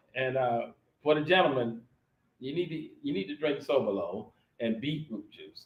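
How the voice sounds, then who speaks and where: A man's fairly high voice sounds somewhat breathy, with big swings in loudness. Long, frequent pauses break up his speech. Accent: American. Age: 60s. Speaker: Air Force veteran living abroad. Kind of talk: interview on a live stream. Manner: halting.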